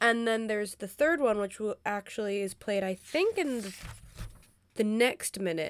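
This woman has a plain, everyday voice, pitched fairly high, with ordinary pitch variation and a moderate pace. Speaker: podcast co-host. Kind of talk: casual chat.

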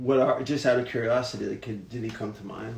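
A man speaks at a moderate pace with fairly even intonation. There is audible room echo. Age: 30s. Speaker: podcast host. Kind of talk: casual chat.

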